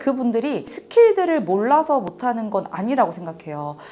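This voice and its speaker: Very wide pitch swings in a woman's fairly high voice, delivered at a moderate pace. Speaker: author and business owner. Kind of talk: interview testimony.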